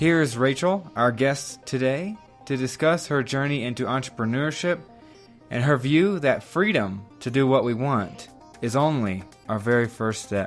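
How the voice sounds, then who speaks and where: With music in the background, a man with an American accent speaks at medium pitch with lively intonation. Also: moderate pace. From Oklahoma. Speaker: podcast host. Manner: puts emphasis on the first syllable of every word.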